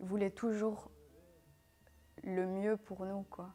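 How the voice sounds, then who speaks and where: Very slowly and in a flat monotone, a woman speaks with a dark, mellow tone at a medium pitch. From Syria, then Belgium from age 12. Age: 20s. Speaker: interviewee. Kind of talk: personal interview testimony. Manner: hesitant, many fillers.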